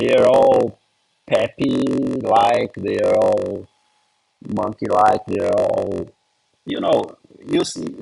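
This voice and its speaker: A man speaks at a very slow pace with a non-native accent. His speech is broken by long, frequent pauses. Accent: foreign. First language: not English. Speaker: comedy writer launching a meme coin. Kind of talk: casual Q&A talk. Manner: halting.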